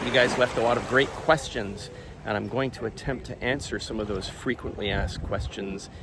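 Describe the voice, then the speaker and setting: A man speaks at a moderate pace with ordinary pitch variation, and noticeable background noise runs behind him. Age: 60s. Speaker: watch YouTuber. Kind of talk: casual Q&A vlog. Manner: relaxed, hesitant with fillers.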